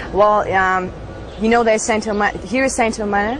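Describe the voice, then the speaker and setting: A woman's medium-pitched, fairly evenly intoned voice with a German accent, amid noticeable background noise and audible room echo. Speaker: former Scientology member. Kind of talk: interview testimony. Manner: halting.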